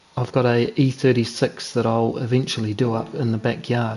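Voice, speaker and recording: With a New Zealand accent, a man of medium pitch talks at a moderate pace over noticeable background noise. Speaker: sim racing streamer. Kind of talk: live gameplay commentary. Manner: casual, chatty.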